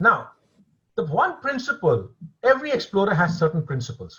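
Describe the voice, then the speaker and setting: Very wide pitch swings mark a man's speech at a fairly quick pace. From India, later Singapore. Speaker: author and filmmaker, former finance executive. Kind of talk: webinar Q&A answer.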